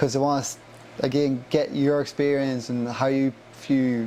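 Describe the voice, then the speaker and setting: The voice has an Irish accent and moves at a fairly slow pace with monotone, flat intonation. Background noise is noticeable. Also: man. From Ireland, County Monaghan. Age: 20s. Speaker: young traveller back from a US work visa. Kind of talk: podcast interview. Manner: casual, many fillers like 'like'.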